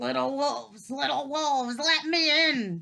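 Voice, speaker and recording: In a put-on character voice, the speaker sounds gruff yet high-pitched and talks at a fairly slow pace. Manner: gruff, grunting.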